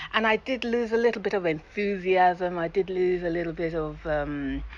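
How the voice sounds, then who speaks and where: A woman talks at a fairly low pitch and a moderate pace, with ordinary pitch variation. Noticeable background noise sits behind her. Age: 60s. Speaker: radio presenter. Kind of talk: interview. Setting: outdoors. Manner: animated.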